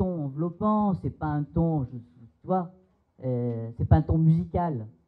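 A very slow man's voice, fairly high in pitch, over a quiet background. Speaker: psychoanalyst. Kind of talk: seminar talk. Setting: seminar room with audience. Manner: hesitant, many fillers. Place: hall. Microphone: handheld.

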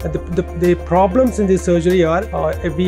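The man's fairly quick speech plays against clear music in the background. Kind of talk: interview answer. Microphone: lapel.

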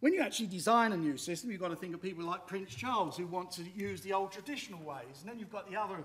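Talking at a very fast pace with hardly any pauses, a man uses a high pitch and ordinary pitch variation. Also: big swings in loudness. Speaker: machinery designer and inventor. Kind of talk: pitch talk. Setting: stage with audience. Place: hall.

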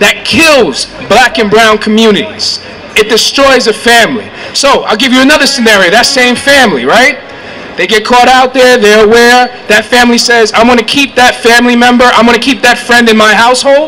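A raised, projected voice over light background noise. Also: man, extremely high pitch for a man. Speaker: community organizer. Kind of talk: rally speech. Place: street. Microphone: handheld.

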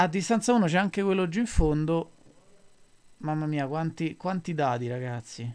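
In a very clean recording with a silent background, a man talks at a moderate pace. His fairly high voice is lively, broken by long, frequent pauses. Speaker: esports commentator. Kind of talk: live esports match commentary, describing the board and moves.

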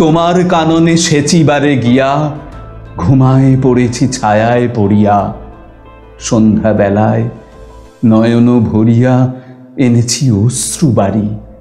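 With ordinary pitch variation and very even loudness, a man speaks over faint music in the background. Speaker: poetry reciter. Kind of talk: poetry reading. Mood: expressive, emotive, dramatic.

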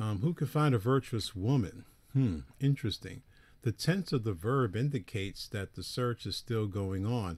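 Over a silent background in a very clean recording, a somewhat breathy voice moves at a moderate pace with lively intonation. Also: man, medium pitch for a man. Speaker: preacher. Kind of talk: lecture.

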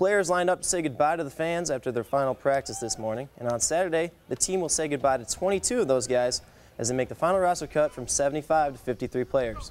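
Backed by music, a man with a fairly high pitch races along at a very fast pace with hardly any pauses and ordinary pitch variation. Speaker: student sports anchor. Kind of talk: news reading.

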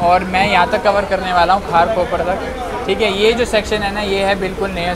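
A man speaks at a moderate pace. Crowd noise fills the background. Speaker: travel vlogger. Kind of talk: casual vlog chat. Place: train. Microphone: phone near.

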